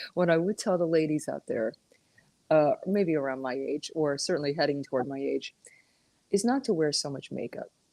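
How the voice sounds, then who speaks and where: A woman speaks with a very deep, low pitch and a dark, mellow tone. The sound is dry and close, with no echo. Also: lively intonation, moderate pace. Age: 60s. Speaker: regular guest. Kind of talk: casual chat.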